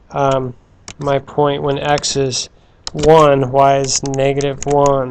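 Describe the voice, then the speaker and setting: Speaking very slowly, a man holds a monotone, flat intonation at a fairly high pitch. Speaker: math teacher. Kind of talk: tutorial.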